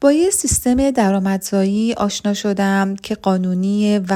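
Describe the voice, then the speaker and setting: In a very clean recording with a silent background, a woman speaks at a medium pitch with a dark, mellow tone. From Iran. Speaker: pharmacy technician promoting an online business. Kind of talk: sales pitch.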